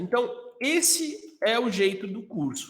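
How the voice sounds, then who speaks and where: This man's pitch swings very widely as he talks. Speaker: course instructor. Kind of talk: live online class. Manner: halting with fillers.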